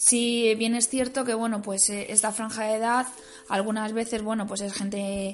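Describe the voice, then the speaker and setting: Fairly even intonation from a woman with a fairly high voice, moving at a moderate pace. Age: 30s. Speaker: vocational school teacher. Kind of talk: personal testimony interview. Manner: hesitant, many fillers.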